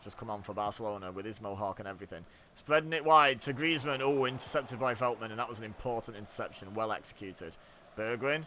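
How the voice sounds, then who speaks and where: Talking at a very fast pace, a man with an English accent uses a medium pitch. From England. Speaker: gaming youtuber. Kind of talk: live commentary. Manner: casual, chatty.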